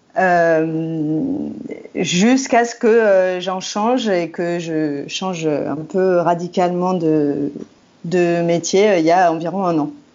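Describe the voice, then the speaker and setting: A woman's fairly low-pitched voice at a very slow pace, with ordinary pitch variation and audible room echo. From France, Rhône area north of Lyon. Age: 30s. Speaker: communications and advocacy professional. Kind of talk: podcast interview. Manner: hesitant, many fillers.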